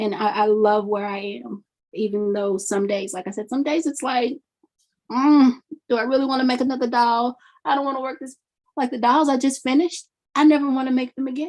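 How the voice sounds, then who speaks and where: A high-pitched woman's voice with an American accent, ordinary pitch variation and a fairly quick pace. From US South, Mississippi. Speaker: doll maker, fiber artist. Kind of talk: interview.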